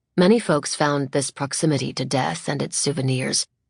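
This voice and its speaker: Ordinary pitch variation with vocal fry. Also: woman. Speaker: audiobook narrator. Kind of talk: audiobook narration. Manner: lyrical, skilled delivery.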